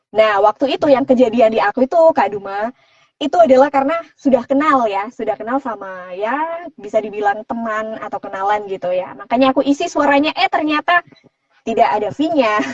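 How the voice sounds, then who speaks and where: This woman speaks at a fairly quick pace with a fairly high pitch. Her pitch swings very widely. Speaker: voice-over artist. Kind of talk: live Q&A interview. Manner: casual conversational.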